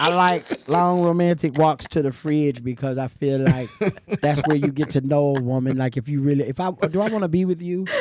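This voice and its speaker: Fairly high in pitch, a man speaks at a fairly quick pace with ordinary pitch variation. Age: 40s. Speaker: comedian. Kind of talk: casual chat. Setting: studio. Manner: animated.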